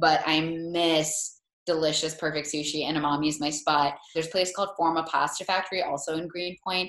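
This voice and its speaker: This woman speaks at a fairly quick pace with a fairly low pitch and monotone, flat intonation. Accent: American. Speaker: food blogger and former line cook. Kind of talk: casual interview. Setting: video call.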